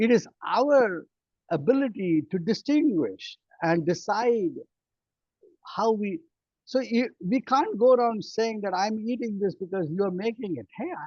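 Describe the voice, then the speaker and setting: A high-pitched man talks at a fairly slow pace. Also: lively intonation. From India. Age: 60s. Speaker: physician. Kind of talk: interview. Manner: halting.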